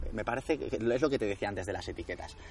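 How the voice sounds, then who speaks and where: A man at medium pitch and a fairly quick pace. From Spain, Madrid region (Alcalá de Henares). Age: 20s. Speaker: endurance sports coach. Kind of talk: interview. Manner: halting.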